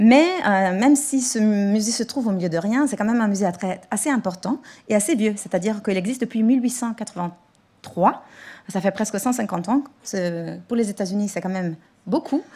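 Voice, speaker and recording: A woman's medium-pitched voice, somewhat breathy and dark, mellow in tone, at a moderate pace with ordinary pitch variation. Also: very clean recording, silent background. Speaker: museum director and lecturer. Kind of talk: conference talk. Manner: halting.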